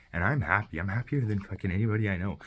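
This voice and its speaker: A man speaks in a somewhat breathy voice. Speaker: vlogger. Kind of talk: personal video message. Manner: fast; halting.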